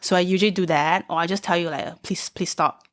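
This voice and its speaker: In a very clean recording with a silent background, a woman with a Singaporean accent and a fairly low pitch speaks at a very fast pace. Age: 30s. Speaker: stand-up comedian. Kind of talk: casual chat.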